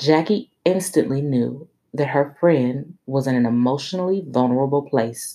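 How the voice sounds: The reading voice sounds natural, and the background stays quiet.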